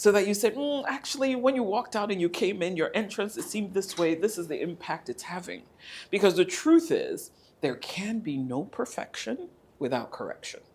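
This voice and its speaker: A woman speaks at a moderate pace, her pitch swinging very widely. The recording is very clean, with a silent background. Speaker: professional etiquette trainer. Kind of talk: training course lecture. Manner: modulated, sweeter after voice coaching.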